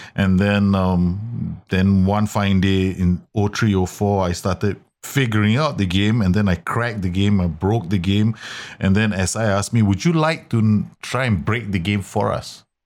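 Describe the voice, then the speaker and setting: A man speaks in a normal speaking voice, fairly low in pitch with ordinary pitch variation and very even loudness. He goes at a fairly slow pace in a very clean recording with a silent background. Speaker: football manager content creator. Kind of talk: casual chat.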